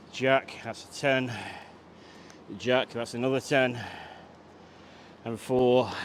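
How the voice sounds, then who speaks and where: A man's medium-pitched voice, very slow and flat, with long, frequent pauses, big jumps in loudness and noticeable background noise. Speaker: fitness trainer. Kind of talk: workout tutorial.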